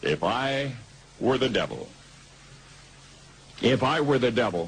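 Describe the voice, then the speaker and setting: A man with an American accent speaks at a fairly slow pace and a medium pitch, with vocal fry. His loudness stays very even, and his pitch varies in an ordinary way. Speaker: radio broadcaster. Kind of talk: radio commentary.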